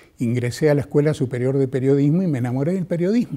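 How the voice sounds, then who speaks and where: Man's somewhat breathy voice, dark and mellow in tone, against a quiet background. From Mendoza, Argentina. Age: 70s. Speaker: television journalist. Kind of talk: interview monologue. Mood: warm, reflective, engaged. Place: studio. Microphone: lapel.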